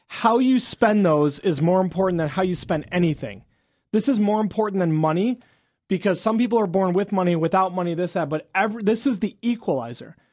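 Fairly quick pace on a very clean recording with a silent background. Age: 30s. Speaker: chiropractor and radio health show host. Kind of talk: radio talk show.

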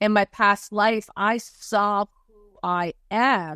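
The sound is dry and close with no echo, against a quiet background. It is an ordinary speaking voice with fairly even intonation. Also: woman. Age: 50s. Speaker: spiritual energy healer. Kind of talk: interview.

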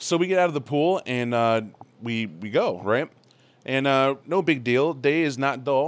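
A man's normal speaking voice at a medium pitch and fairly slow pace, with ordinary pitch variation. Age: 30s. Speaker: gamer returning from a convention. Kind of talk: casual chat.

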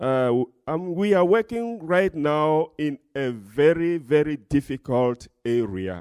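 A man's fairly high voice, very slow and with hardly any pauses, swinging very widely in pitch, in a dry, close sound with no echo. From Togo, West Africa. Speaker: pastor and missionary. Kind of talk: testimony, church talk.

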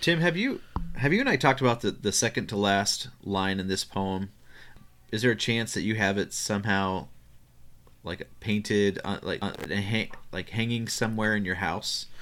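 Recorded very cleanly with a silent background, a man with an ordinary speaking voice talks at a moderate pace with ordinary pitch variation. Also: fairly low pitch for a man. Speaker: podcast co-host. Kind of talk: casual podcast conversation about poetry.

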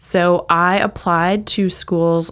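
A woman's medium-pitched voice, with ordinary pitch variation, comes through on a very clean recording against a silent background. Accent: American. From Texas. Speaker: city economic development director. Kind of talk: casual interview.

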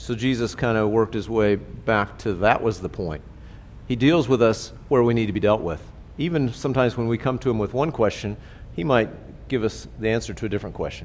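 Vocal fry marks a man's voice, with ordinary pitch variation. He speaks at a fairly quick pace. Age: 60s. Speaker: pastor. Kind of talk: sermon. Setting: church.

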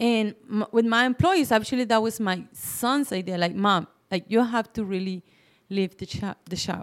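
A woman with a Mexican accent talks in a fairly high pitch, recorded with a dry, close sound and no echo. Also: ordinary pitch variation, moderate pace. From Mexico City. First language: Spanish. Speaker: business owner. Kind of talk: interview.

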